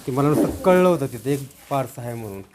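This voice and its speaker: Here is a man with a plain, everyday voice. It sits fairly high and shows ordinary pitch variation. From Maharashtra, Satara district. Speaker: retired soldier and farmer. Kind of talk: casual interview storytelling.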